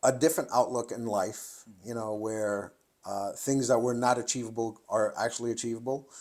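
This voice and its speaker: This man has a medium pitch and a monotone, flat intonation. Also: moderate pace. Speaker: competitive shooter and firearm instructor. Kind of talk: interview conversation.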